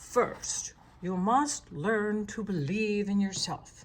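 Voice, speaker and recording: A woman uses a put-on character voice at medium pitch. She delivers it at a very slow pace. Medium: read story. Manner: self-assured.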